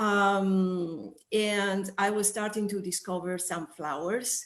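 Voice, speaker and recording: With an Italian accent, a woman speaks at a very slow pace. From northern Italy. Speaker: sensory expert. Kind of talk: interview. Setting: video call.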